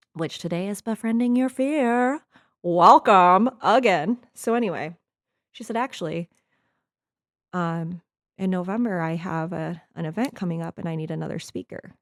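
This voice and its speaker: Animated and moderately paced, a woman talks at a fairly low pitch with very wide pitch swings. The recording is very clean, dry and close, with no echo and a silent background. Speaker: life coach and podcast host. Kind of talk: solo podcast monologue. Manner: casual, animated.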